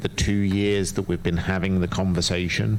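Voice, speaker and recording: The speaker is a man with fairly low pitch. Noticeable background noise is present. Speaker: public commenter, local parent. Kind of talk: public comment at school board meeting. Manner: soft-spoken; hesitant, many fillers.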